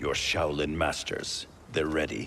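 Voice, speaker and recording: A man puts on a character voice with a very deep, low pitch. He talks at a fairly slow pace over clear background noise. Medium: video game. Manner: stern, suspicious.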